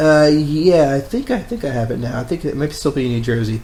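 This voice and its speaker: A man's fairly high voice with lively intonation. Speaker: film podcast co-host. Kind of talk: casual chat. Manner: fast.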